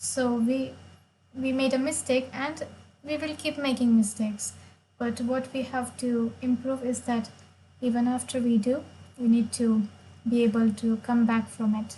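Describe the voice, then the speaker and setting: A woman with a Marathi accent speaks at a high pitch in a flat monotone, with a dark, mellow tone and a fairly slow pace broken by long, frequent pauses. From India, Maharashtra. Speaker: chess player and streamer. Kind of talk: live stream chess commentary.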